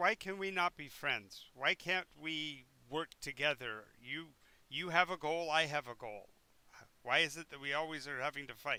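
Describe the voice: A man does a put-on character voice at a fairly high pitch, cackling. He keeps a moderate pace.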